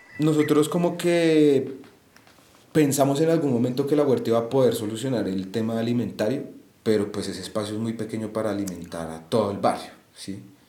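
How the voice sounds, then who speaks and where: Amid audible room echo, a man with a medium pitch and a dark, mellow tone talks at a fairly quick pace with lively intonation. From Bogotá, Colombia (Bosa). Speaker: student, musician and urban garden co-founder. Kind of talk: interview conversation. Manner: hesitant.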